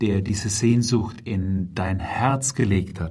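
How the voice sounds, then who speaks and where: A man's very slow, somewhat breathy speech, calm in tone and dark and mellow, with fairly even intonation and audible room echo. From Germany, Heidelberg. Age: 50s. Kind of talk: religious talk. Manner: calm, measured.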